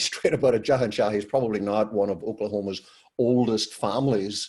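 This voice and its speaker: A man speaks with a Northern Irish accent at a fairly quick pace, his dark, mellow voice medium in pitch with ordinary pitch variation. The recording is very clean, with a silent background. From Northern Ireland. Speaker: podcast host. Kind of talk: podcast interview.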